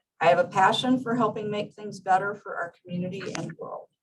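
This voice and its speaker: This woman's voice sits at a medium pitch and is somewhat breathy. She talks at a fairly quick pace. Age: 60s. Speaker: small farmer speaking at public comment. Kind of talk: prepared public comment read aloud. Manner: formal.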